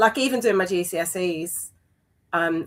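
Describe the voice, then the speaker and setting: A London accent at a moderate pace, with ordinary pitch variation. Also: woman. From East London. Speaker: amateur runner in recovery. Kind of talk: interview. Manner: hesitant, many fillers.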